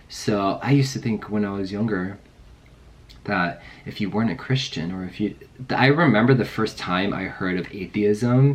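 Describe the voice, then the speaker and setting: Moderately paced speech from a man, fairly low-pitched, with ordinary pitch variation. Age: 30s. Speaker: vlogger. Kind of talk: personal testimony vlog. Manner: casual, hesitant with fillers.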